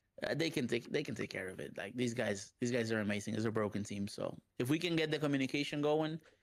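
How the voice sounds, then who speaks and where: In a Spanish accent, a man talks at a very fast pace with hardly any pauses. His medium pitch shows ordinary pitch variation. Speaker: professional fighting game player. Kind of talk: interview.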